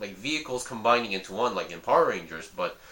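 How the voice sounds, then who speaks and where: The speech has lively intonation, and an audible room echo surrounds it. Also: man. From South Korea, with early schooling at an American school. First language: Korean. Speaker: hobby YouTuber reviewing model kits. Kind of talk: casual vlog talk. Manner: halting, with many fillers and restarts.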